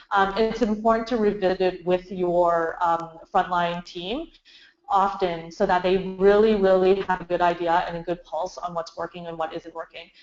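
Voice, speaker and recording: The intonation is monotone and flat. It comes from a woman speaking at a medium pitch. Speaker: marketing agency founder presenting webinar. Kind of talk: webinar presentation. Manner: fast.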